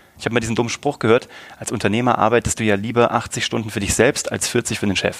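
A man talks at a medium pitch. His pace is very fast. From Germany, Kassel. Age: 30s. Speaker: entrepreneur and podcaster. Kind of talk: casual interview. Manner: animated.

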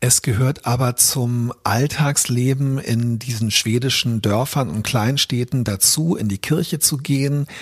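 With hardly any pauses, a man at a medium pitch speaks at a fairly slow pace in a somewhat breathy voice. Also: ordinary pitch variation. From Berlin, Germany. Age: 50s. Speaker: author and journalist. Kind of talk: personal reflection monologue. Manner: thoughtful with frequent fillers.

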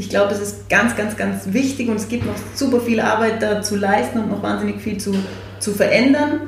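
A woman is heard with audible room echo. Noticeable background noise is also present. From Austria, Salzburg. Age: 30s. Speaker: food company founder, nutritionist. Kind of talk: interview.

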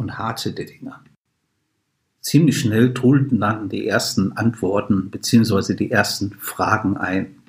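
Speaking at a very slow pace, a man uses ordinary pitch variation in a somewhat breathy voice. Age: 50s. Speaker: podcast host. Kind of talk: scripted narration.

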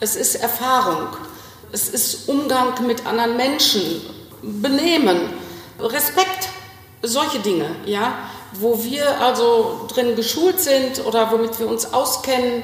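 A woman's high-pitched voice with lively intonation, very slow and broken by long, frequent pauses, amid noticeable background noise and audible room echo. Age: 60s. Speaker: executive assistant. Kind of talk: phone interview.

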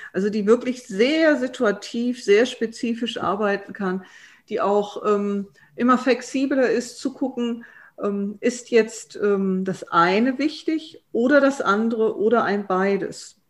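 A woman's fairly high voice at a very slow pace, with ordinary pitch variation over a quiet background. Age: 50s. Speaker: transformation consultant and coach. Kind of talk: expert interview.

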